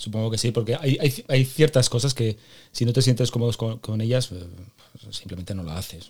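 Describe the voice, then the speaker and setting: A man's somewhat breathy, medium-pitched voice moves at a moderate pace with ordinary pitch variation. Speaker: podcast host. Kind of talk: interview; scripted intro monologue.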